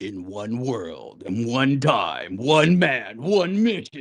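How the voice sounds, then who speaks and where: A man's put-on character voice at a medium pitch and a very slow pace. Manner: dramatic movie-trailer narration.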